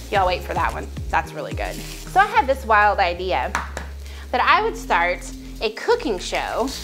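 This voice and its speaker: A woman speaks at a moderate pace over clear music in the background. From Southern US, Texas. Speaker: home cook. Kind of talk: casual talk to camera, cooking channel intro. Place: kitchen.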